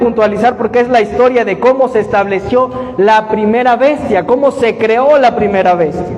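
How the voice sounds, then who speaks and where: A man speaks at an extremely high pitch and a fairly quick pace, animated in tone with ordinary pitch variation. His loudness stays very even over noticeable background noise. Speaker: bible study teacher. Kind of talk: bible study lecture with audience questions. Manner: animated, questioning.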